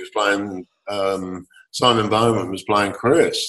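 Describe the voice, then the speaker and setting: At a very slow pace, a man with a fairly low voice and an English accent speaks in a fairly even intonation. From England. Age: 60s. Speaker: composer and lyricist, former rock keyboardist. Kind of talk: interview. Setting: remote call.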